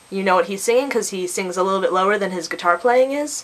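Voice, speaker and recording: A woman at medium pitch, very fast pace, against noticeable background noise. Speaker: vlogger. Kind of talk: casual vlog.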